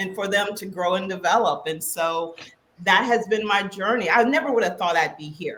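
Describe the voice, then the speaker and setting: A woman with an American accent speaks in a plain, everyday voice at medium pitch and a moderate pace, with ordinary pitch variation. Her loudness swings a lot. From West Virginia, rural. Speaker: keynote speaker and coach. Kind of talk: podcast interview.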